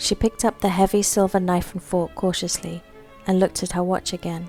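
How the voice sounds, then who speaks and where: Background music plays while the talking unfolds at a moderate pace. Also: woman. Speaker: author reading own story. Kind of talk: short story reading.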